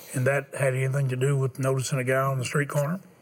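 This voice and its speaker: Flat, monotone delivery against noticeable background noise. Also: man. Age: 70s. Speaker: televangelist host. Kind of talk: fundraising appeal. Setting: tv studio.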